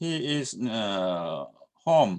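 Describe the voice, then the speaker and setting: A man's medium-pitched voice with a Korean accent. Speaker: university lecturer. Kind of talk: lecture. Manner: halting, many fillers.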